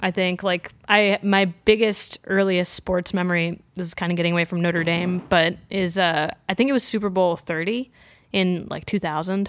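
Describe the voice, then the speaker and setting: On a very clean recording with a silent background, a woman at medium pitch speaks at a moderate pace with fairly even intonation. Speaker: musician. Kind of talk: casual chat. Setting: in person, in a room. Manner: relaxed, casual.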